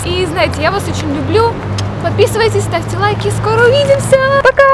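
A woman talks at a fairly quick pace over crowd noise in the background. The sound is dry with no echo. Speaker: fitness vlogger. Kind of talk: casual vlog chat. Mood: cheerful, warm. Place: forest.

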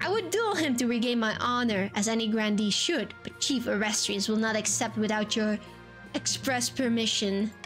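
A female-sounding, put-on character voice talks at a moderate pace with a fairly high pitch. Clear music is heard in the background. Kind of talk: archaic courtly speech. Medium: game stream. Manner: indignant, pompous, old-fashioned insults.

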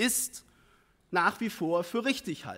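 Against a quiet background, a man talks in a high pitch. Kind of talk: parliamentary speech. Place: hall. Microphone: podium.

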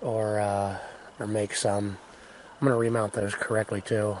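A man speaks at a fairly slow pace in a dry sound with no echo, amid noticeable background noise. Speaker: homesteader. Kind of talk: casual talk to camera. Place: open country. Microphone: phone near.

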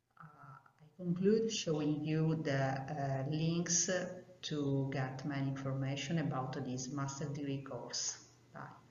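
In an Italian accent, a woman speaks at a very deep, low pitch and a fairly slow pace with fairly even intonation and audible room echo. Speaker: geophysics professor. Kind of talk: recorded video presentation. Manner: formal, read aloud. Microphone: video call.

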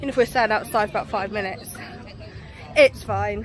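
Talking at a very fast pace with a southern English accent, a woman comes through a dry recording with no echo and light background noise. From England. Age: 30s. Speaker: family vlogger. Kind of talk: casual vlog to camera. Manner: animated. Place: street. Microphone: phone near.

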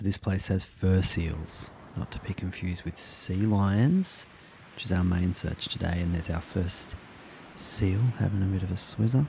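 A man speaks at a fairly slow pace in a very deep, low pitch. The sound is dry with no echo, though noticeable background noise is present. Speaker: travel vlogger. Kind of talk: casual vlog chat. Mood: light, amused. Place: beach. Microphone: phone near.

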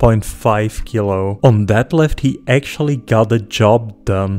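A man at a fairly slow pace with ordinary pitch variation and music in the background. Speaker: channel narrator. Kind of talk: commentary.

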